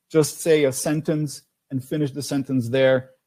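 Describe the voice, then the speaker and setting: A dark, mellow tone marks the man's voice. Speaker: language test expert. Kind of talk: webinar Q&A. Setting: online webinar. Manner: halting, many fillers.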